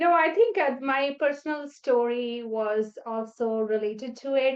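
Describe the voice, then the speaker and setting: A woman's voice with a non-native accent and ordinary pitch variation. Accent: foreign accent, noticeable. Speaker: nephrologist. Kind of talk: interview podcast. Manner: halting, many fillers.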